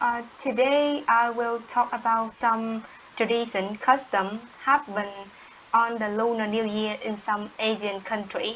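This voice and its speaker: The speaker talks at a fairly slow pace in a monotone, flat intonation, with a Vietnamese accent. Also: woman, fairly high pitch for a woman. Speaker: English learner. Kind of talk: language practice conversation. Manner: halting. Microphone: distorted, squeaky audio.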